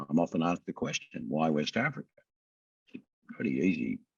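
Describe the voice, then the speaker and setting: A man speaks with an Australian accent, using vocal fry and very wide pitch swings. The sound is dry and close, with no echo. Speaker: company CEO. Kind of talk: investor interview. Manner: casual, conversational.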